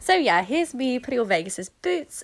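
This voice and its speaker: A woman with a British accent, very wide pitch swings, on a very clean recording with a silent background. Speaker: horse rider. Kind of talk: voiceover narration.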